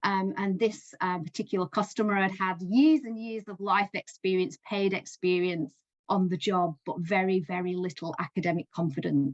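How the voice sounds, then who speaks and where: Speech at a moderate pace with hardly any pauses, a Lancashire accent, ordinary pitch variation, and a dry, close sound with no echo. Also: woman, medium pitch for a woman. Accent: Northern English (Lancashire). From Lancashire, England. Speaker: education support coach. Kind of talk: speaker spot talk to business group.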